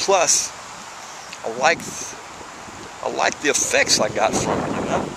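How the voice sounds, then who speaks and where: Speaking at a moderate pace with long, frequent pauses, a man with an American accent is heard against noticeable background noise. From US South, small town. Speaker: person in addiction recovery. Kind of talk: personal testimony vlog. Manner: repetitive, halting at times.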